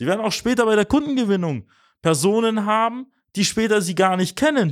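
This recording is very clean, and the background is silent. A man talks very fast. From Swabia, near Tübingen (Mössingen). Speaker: podcast host and agency managing director. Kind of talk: business advice monologue.

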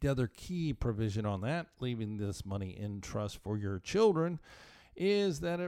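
On a very clean recording with a silent background, a man speaks in a plain, everyday voice at medium pitch. His intonation is lively and his pace fairly slow. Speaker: tax attorney and financial planner. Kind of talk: radio advice show monologue.

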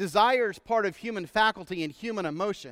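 In a very clean recording with a silent background, a man with a Texan accent speaks with lively intonation. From Texas. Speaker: pastor. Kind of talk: sermon. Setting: church.

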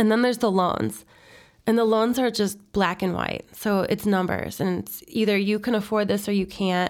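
Medium in pitch, a woman talks in a plain, everyday voice with an American accent and fairly even intonation. Her pace is moderate, on a very clean recording with a silent background. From Chicago, northwest side. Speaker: real estate broker. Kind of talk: interview.

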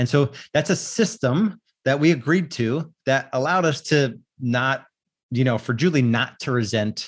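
Ordinary pitch variation in a man's speech, captured on a very clean recording against a silent background. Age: 40s. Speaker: real estate coach and podcast host. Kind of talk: solo monologue podcast. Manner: hesitant with frequent fillers.

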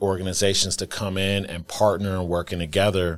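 A man with an American accent speaks with a very deep, low pitch and monotone, flat intonation. The recording is very clean, with a silent background. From Milwaukee, Wisconsin, US. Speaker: nonprofit founder and CEO. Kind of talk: interview.

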